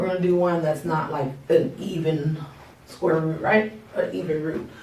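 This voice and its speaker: A woman speaks at a fairly slow pace with a very deep, low pitch. Room echo and noticeable background noise can be heard. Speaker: math teacher. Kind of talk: tutorial. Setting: recorded at workplace, not home office. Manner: casual, conversational.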